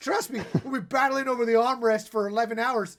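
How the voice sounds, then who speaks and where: Extremely high-pitched for a man, this animated voice with an American accent races along at a very fast pace. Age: 30s. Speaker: podcast co-host. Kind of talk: casual chat.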